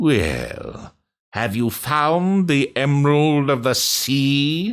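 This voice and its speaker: Putting on a character voice, a man speaks fairly high at a very slow pace with lively intonation. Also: very clean recording, silent background. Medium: read story. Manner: harsh, imperious.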